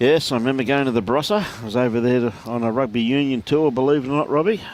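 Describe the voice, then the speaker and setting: A man with an Australian accent speaks very fast at a medium pitch, his pitch varying in an ordinary way. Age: 60s. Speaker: lawn bowls commentator. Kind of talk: live sports commentary. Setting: livestream at a bowls club. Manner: casual, bantering.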